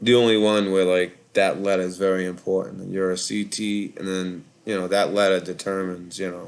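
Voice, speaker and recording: Speaking in a very deep, low voice, a man talks fairly quickly with hardly any pauses and a monotone, flat intonation. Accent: Boston. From Boston, Massachusetts (Charlestown). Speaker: call-in show host, Navy veteran. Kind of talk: casual live call-in chat. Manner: rambling, hesitant with fillers.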